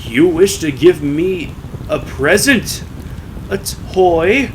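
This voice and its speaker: A man in a put-on character voice, high-pitched and very slow, over clear background noise. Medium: read story. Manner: booming, theatrical.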